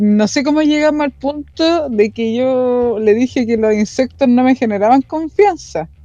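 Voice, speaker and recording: In a Chilean accent, a woman talks at a fairly slow pace with hardly any pauses, her high-pitched, dark, mellow tone carrying lively intonation. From Chile, Talagante countryside. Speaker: podcast panelist. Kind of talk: casual chat.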